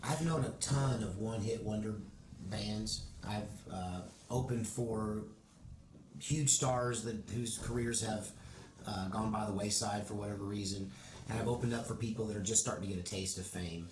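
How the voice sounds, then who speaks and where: A man with a Texas accent speaks at a moderate pace, his fairly low pitch showing ordinary variation and long, frequent pauses. Audible room echo and noticeable background noise fill the recording. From Oregon, US. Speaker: country musician. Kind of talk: casual interview.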